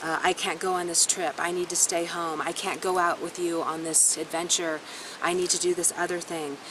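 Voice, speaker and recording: The woman's voice is fairly low in pitch and monotone, with flat intonation. Noticeable background noise runs underneath. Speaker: astrologer. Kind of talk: astrology forecast monologue. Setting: self-recorded on camera. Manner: fast.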